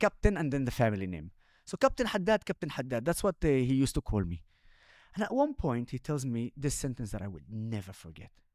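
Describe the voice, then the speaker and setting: On a very clean, dry, close recording with a silent background and no echo, a man with an Arabic accent speaks at a very fast pace, his medium pitch swinging very widely. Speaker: social media influencer and former army commander. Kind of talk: interview conversation. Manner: animated.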